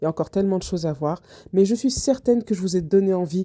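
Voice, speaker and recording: A woman with a fairly low pitch and a dark, mellow tone is heard in a very clean recording with a silent background. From Réunion. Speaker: travel vlogger. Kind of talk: vlog home tour. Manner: soft-spoken; halting.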